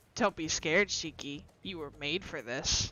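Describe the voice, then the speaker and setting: In a put-on character voice, the speaker goes at a moderate pace with a middle pitch. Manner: soothing, eerie.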